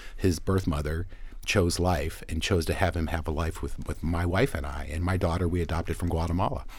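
A man's very deep, low, somewhat breathy voice at a fairly quick pace, with fairly even intonation. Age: 50s. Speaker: anti-abortion advocacy leader and lawyer. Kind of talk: interview.

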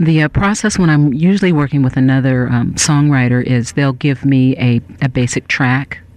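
The speaker has an American accent and ordinary pitch variation. The pace is moderate, the loudness very even, with hardly any pauses. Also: woman, very deep, low pitch for a woman. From Northern California. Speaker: singer-songwriter. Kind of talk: radio interview. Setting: radio studio.

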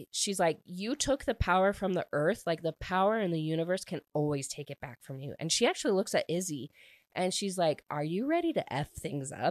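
A woman speaks at medium pitch and a moderate pace in an animated tone. The sound is dry and close, with no echo. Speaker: book podcast host. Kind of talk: solo book review monologue.

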